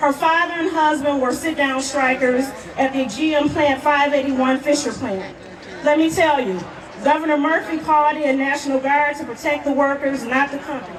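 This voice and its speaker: Noticeable background noise sits behind the voice. A woman speaks at a high pitch with fairly even intonation. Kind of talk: protest rally introduction. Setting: outdoors, PA system.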